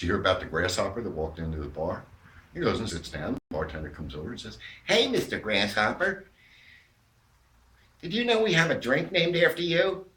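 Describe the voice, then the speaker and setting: A bright, sharp voice with an American accent and vocal fry, very fast with long, frequent pauses, very wide pitch swings and big swings in loudness. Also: man, medium pitch for a man. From New York. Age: 60s. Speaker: amateur comedian. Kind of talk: stand-up.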